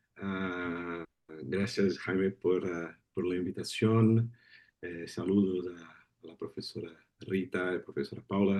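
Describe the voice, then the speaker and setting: A man with a Brazilian accent speaks at a fairly slow pace in a very deep, low pitch, with a dark, mellow tone and fairly even intonation. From southern Brazil, Paraná. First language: Portuguese (speaking Spanish). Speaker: lawyer and migration expert. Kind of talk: seminar talk. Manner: hesitant, repeating words.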